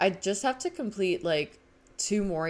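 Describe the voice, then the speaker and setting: A woman with a Southern California accent. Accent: Valley Girl voice. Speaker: video game streamer. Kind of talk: casual live-stream chat.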